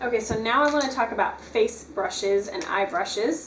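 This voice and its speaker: Through audible room echo and noticeable background noise, a woman speaks in a fairly high pitch. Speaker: beauty vlogger. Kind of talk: tutorial. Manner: fast; casual, filler-heavy.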